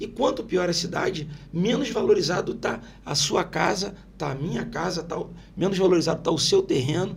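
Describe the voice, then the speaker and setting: High-pitched for a man, the voice moves at a moderate pace, with noticeable background noise and audible room echo. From Brazil, Itaguaí (Rio de Janeiro state). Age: 50s. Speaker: local politician. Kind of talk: interview. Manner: animated.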